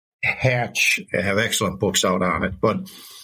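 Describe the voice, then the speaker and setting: A man's bright, sharp tone with vocal fry. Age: 70s. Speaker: historian. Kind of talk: podcast interview.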